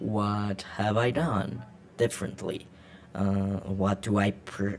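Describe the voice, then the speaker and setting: A man with a Latin American accent, fairly low pitch, and very slow pace. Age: 20s. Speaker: vlogger. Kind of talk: casual unscripted monologue. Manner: halting, many fillers and repeats.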